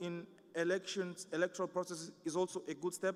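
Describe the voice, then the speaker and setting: A man speaks with a non-native accent at a high pitch. He keeps a moderate pace. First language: not English. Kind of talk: conference presentation. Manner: halting, many fillers.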